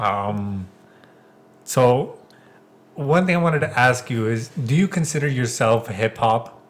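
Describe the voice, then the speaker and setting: With a somewhat breathy, medium-pitched voice, a man speaks at a fairly slow pace using lively intonation and long, frequent pauses. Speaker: podcast host. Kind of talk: casual chat.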